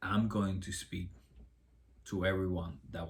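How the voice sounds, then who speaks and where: A man with a Spanish accent speaks fairly slowly in a very deep, low pitch with vocal fry and ordinary pitch variation, his voice carrying audible room echo. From Cuba. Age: 30s. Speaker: vlogger. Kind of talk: personal testimony. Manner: halting.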